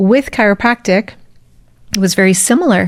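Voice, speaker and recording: In an American accent, a woman with an ordinary speaking voice talks at a fairly high pitch with lively intonation, the sound dry and close with no echo. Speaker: spiritual mentor and breathwork coach. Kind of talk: interview conversation.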